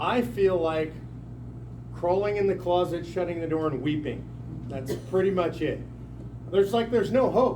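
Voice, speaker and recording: A man speaks at a high pitch and a moderate pace, with an animated tone and lively intonation. Long, frequent pauses break up his speech, and audible room echo is present. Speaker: political activist speaker. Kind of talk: town hall speech. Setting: packed meeting room with audience.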